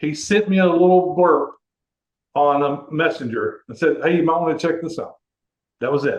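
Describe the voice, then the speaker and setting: Here a man speaks with an American accent at a moderate pace. His pitch is fairly high, with ordinary variation. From Texas, Houston. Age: 60s. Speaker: network marketer. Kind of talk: interview testimony. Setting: conference call.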